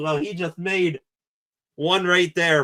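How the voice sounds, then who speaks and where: A man talks at a moderate pace. His voice is high-pitched. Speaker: sports livestream host. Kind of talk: live reaction commentary. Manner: animated.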